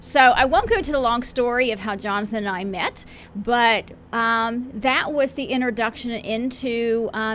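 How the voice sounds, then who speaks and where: Here a woman with an American accent has an unremarkable speaking voice at a moderate pace. Her pitch is fairly high and varies in an ordinary way. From western Pennsylvania. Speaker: pastor. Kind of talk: radio interview.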